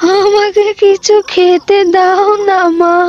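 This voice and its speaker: This is a cartoonish character voice. Its intonation is monotone and flat. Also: female-sounding voice, extremely high pitch for a woman. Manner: frail, pleading.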